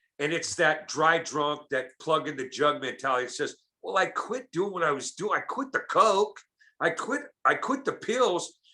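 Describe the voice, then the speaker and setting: At a moderate pace, a man's high voice with a bright, sharp tone makes very wide pitch swings. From Oakland, California. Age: 60s. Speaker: comedian and recovery speaker. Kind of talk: casual podcast interview. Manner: animated.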